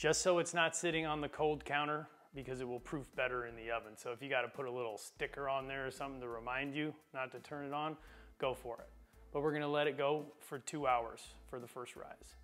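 A man's fairly quick speech with fairly even intonation, faint music in the background. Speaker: home cooking host. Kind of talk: tutorial. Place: kitchen. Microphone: lapel.

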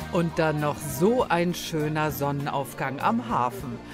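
With a fairly high voice, a man speaks over background music. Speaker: news reporter. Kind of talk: TV news voice-over.

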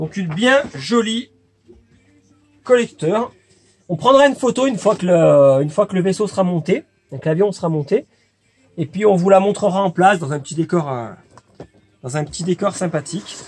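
A man with a high pitch speaks at a moderate pace with lively intonation. Long pauses come often. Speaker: video game shop presenter. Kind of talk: casual talk to camera.

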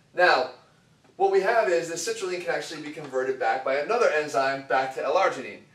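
Audible room echo surrounds a man as he talks at a moderate pace. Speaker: fitness coach. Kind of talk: lecture. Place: empty room.

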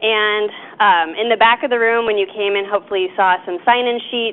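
Using a plain, everyday voice, a woman speaks at a moderate pace with a fairly high pitch and ordinary pitch variation. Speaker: event organizer at a wildlife agency. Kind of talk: lecture introduction. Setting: stage with audience. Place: hall.

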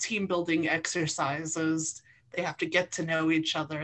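Over a quiet background, a woman talks at a fairly slow pace in a fairly low pitch. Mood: cheerful, laughing. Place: home room. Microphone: video call.

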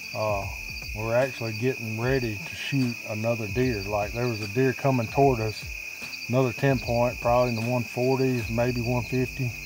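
A man speaks at a moderate pace, his voice dry with no echo, over loud background noise. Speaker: adult hunting guide. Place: forest.

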